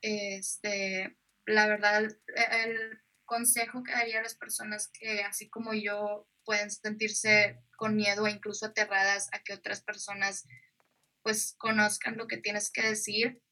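At a fairly slow pace, a woman speaks with a fairly high pitch and a bright, sharp tone, her intonation monotone and flat while her loudness swings widely. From northern Mexico, Nuevo Laredo, Tamaulipas. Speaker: poet. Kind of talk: interview. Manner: hesitant, many fillers.

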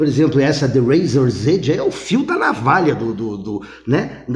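Speaking at a fairly slow pace, a man with a fairly high, somewhat breathy voice and an animated tone makes very wide pitch swings, with audible room echo. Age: 50s. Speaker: former math teacher and rock expert. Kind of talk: casual chat.

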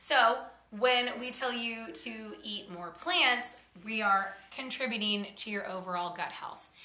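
Recorded with audible room echo and noticeable background noise, a woman with an American accent speaks at a fairly slow pace with big swings in loudness. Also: fairly high pitch for a woman, ordinary pitch variation. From Oklahoma. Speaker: podcast host, fitness and health coach. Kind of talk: casual educational monologue. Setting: she shed with tin roof.

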